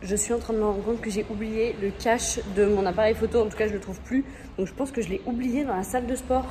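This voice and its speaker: A woman talks at a fairly quick pace with ordinary pitch variation while noticeable background noise sits behind her. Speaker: vlogger. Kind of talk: vlog monologue. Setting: underground car park.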